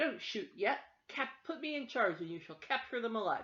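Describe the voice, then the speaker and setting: A woman performs a put-on character voice at a high pitch and a moderate pace. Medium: read story. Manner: exclamatory, gruff.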